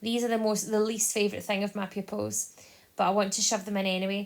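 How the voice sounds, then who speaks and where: A woman with a Scottish accent at a fairly quick pace, medium in pitch, with monotone, flat intonation. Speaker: maths teacher. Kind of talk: tutorial. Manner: fast.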